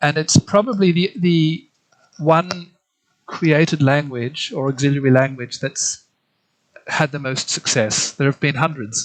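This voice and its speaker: Here a man speaks with a slight German accent. His pitch variation is ordinary. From Australia. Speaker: literary translator. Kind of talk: interview. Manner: halting, many repetitions and fillers.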